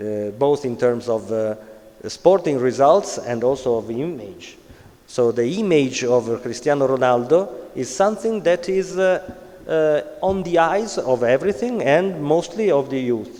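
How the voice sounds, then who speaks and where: Against noticeable background noise, a man with an Italian accent speaks at a fairly slow pace and fairly high pitch with lively intonation. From Italy. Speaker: conference speaker on sports social responsibility. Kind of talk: conference talk. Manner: halting, many fillers.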